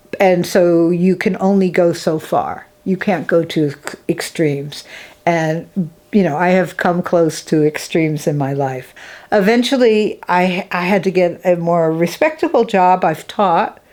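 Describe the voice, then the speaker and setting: A woman with an American accent talks fairly slowly in an ordinary speaking voice, fairly low in pitch with ordinary pitch variation. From Massachusetts, US (Springfield). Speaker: artist and filmmaker. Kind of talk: interview.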